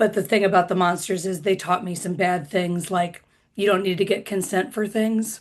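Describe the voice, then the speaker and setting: A woman with an American accent uses a normal speaking voice, keeping a moderate pace and fairly even intonation. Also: medium pitch for a woman. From US Midwest, Indiana. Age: 30s. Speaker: comedian. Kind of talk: stand-up.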